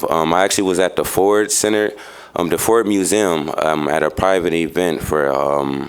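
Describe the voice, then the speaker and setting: Speaking at a moderate pace, a man with an American accent has a very deep, low pitch. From Chicago, US Midwest. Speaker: nonprofit youth worker giving public comment. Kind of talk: public comment at city meeting. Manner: halting, many fillers.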